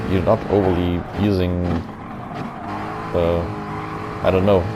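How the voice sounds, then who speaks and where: A man's mumbling, very deep, low voice with a German accent at a moderate pace, with audible room echo and noticeable background noise. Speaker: gaming commentator. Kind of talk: gameplay commentary.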